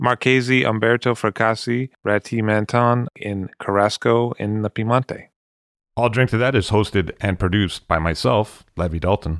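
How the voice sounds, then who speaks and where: A plain, everyday voice from a man with an American accent, fairly low in pitch, at a moderate pace with ordinary pitch variation, dry and close with no echo. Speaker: podcast host. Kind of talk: interview.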